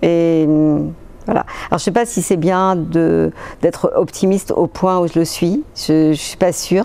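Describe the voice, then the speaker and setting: Her pitch varies in an ordinary way. The woman's voice is fairly low. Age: 60s. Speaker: patient's spouse and amateur athlete. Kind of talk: testimony. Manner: halting, many hesitations.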